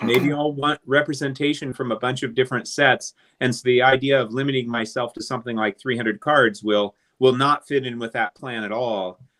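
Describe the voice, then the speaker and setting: This man has an unremarkable speaking voice at medium pitch. He talks at a fairly quick pace with fairly even intonation. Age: 60s. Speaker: vintage card collector. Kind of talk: casual chat. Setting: live stream.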